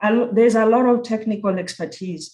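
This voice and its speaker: Someone with a Kenyan accent talks at a fairly quick pace. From Kenya (Nairobi). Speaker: university program director. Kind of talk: conference presentation. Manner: halting with self-corrections.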